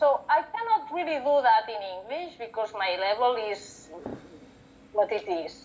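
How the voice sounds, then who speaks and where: The speech moves at a fairly slow pace with lively intonation. It carries a Catalan accent. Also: woman, fairly high pitch for a woman. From Catalonia, Spain. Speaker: book and paper conservator. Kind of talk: casual interview chat.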